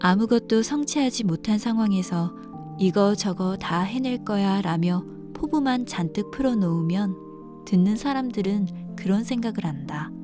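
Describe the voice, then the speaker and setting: With music in the background, a woman of medium pitch speaks in a calm tone with lively intonation. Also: fairly slow pace. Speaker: audiobook narrator. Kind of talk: essay audiobook reading for sleep. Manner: calm, soft-spoken.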